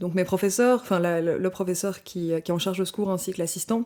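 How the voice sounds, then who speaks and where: A woman speaks very fast in a Belgian accent, at a medium pitch with ordinary pitch variation. Her tone is dark and mellow, and the recording is very clean with a silent background. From Belgium, Brussels. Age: 20s. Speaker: anthropology student. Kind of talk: podcast interview. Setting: studio.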